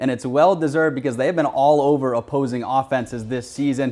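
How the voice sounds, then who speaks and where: A normal speaking voice, fairly even in intonation and fairly quick in pace. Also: man. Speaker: sports reporter. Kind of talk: on-air sports report.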